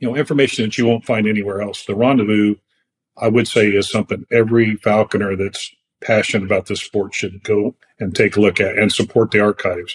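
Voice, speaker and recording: This man's voice sits fairly low and moves at a very fast pace with fairly even intonation. The sound is dry and close, with no echo. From California. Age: 60s. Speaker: falconer. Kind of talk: casual chat. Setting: video call.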